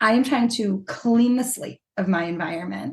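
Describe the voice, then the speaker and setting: Speaking at a moderate pace, a woman uses a fairly high pitch and lively intonation. Her voice is somewhat breathy. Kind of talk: podcast interview.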